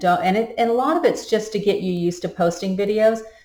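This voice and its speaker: Audible room echo surrounds a voice going at a moderate pace. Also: woman. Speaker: public speaking instructor. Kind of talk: recorded course lecture. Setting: recorded video to camera. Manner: energetic, jumps between topics.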